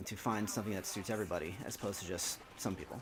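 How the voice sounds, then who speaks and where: A man with an American accent, fairly low pitch and a very fast pace. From US Northeast, New Jersey. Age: 30s. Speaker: gaming video host. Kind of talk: casual chat. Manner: halting.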